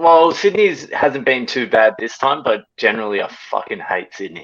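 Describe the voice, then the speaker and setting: Speaking with an Australian accent, a man has a fairly high voice with vocal fry. His pitch swings very widely, and his pace is moderate. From Australia, Melbourne. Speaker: comedian. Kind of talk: casual chat.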